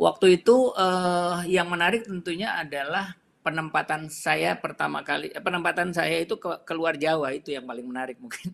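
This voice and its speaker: A man talks in a high pitch with ordinary pitch variation. He takes hardly any pauses. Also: moderate pace. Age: 50s. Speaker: retired telecom company director. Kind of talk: interview. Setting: live stream interview. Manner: halting, many fillers.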